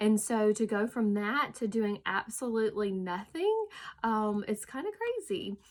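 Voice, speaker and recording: A woman with a Southern US accent, fairly high pitch and a fairly slow pace. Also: ordinary pitch variation. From US South. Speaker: hairstylist and direct sales executive. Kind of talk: casual talk to camera. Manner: hesitant, many fillers.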